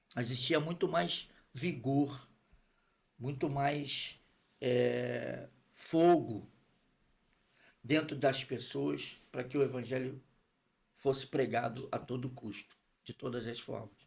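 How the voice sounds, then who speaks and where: At a very slow pace, a man talks with vocal fry. His pitch is medium with ordinary variation. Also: long, frequent pauses, big swings in loudness. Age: 60s. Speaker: pastor. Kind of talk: testimony.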